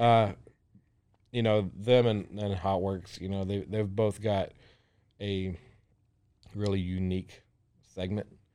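A man speaks in a Texan accent at a fairly slow pace, with fairly even intonation and long, frequent pauses. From Central Texas, small town near Waco. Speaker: restaurant owner. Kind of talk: interview. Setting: studio. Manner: hesitant, many fillers and repetitions.

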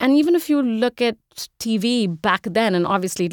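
The recording is very clean with a silent background and a dry, close sound with no echo. A woman speaks at a moderate pace with ordinary pitch variation. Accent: Indian. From India. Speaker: investment strategist. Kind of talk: interview.

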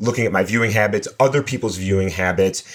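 The pitch varies in an ordinary way across a normal speaking voice. The recording is very clean, with a silent background. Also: man. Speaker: computer science professor. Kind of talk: expert interview discussion.

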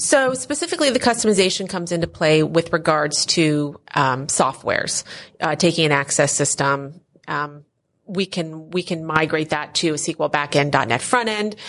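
A woman talks at a moderate pace in a very deep, low voice. Her intonation is lively, and the background is quiet. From Philadelphia area, Pennsylvania. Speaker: software company owner. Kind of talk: casual interview. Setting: at a conference.

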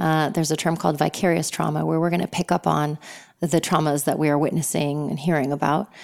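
A woman speaks very fast with vocal fry, her voice very deep and low, her intonation fairly even and her loudness very even, on a very clean recording with a silent background. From Lebanon. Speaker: somatic psychotherapist and yoga teacher. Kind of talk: interview conversation.

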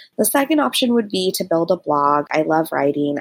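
With an ordinary speaking voice, a woman talks at a moderate pace in a fairly low pitch with lively intonation, in a dry, close sound with no echo. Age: 30s. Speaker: caller, digital marketer. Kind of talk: voicemail question.

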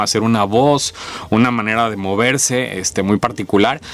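Noticeable background noise sits behind a man with a medium-pitched voice. He speaks at a fairly quick pace with fairly even intonation. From Mexico, Villahermosa, Tabasco. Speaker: actor. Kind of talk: interview.

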